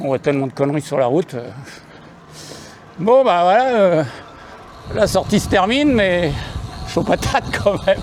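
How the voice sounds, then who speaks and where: A man's high-pitched voice with very wide pitch swings, long and frequent pauses, and noticeable background noise. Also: moderate pace. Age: 60s. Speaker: cycling vlogger. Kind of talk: casual vlog narration. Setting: outdoors on a bike. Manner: halting.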